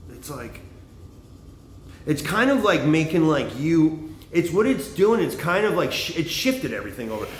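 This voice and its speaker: A loud man's voice at a moderate pace, fairly high-pitched, with very wide pitch swings and audible room echo. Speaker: livestreamer, former bartender and comic. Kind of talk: casual monologue livestream. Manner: rambling, halting with fillers.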